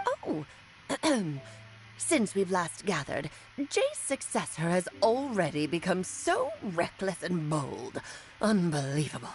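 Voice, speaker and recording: This is a put-on character voice at a fairly slow pace with long, frequent pauses. Clear background noise runs behind it. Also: woman, medium pitch for a woman. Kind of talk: haughty, old-fashioned.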